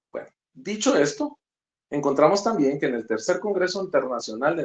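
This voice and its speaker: His intonation is lively as the man talks. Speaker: law lecturer. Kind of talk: online lecture. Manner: fast.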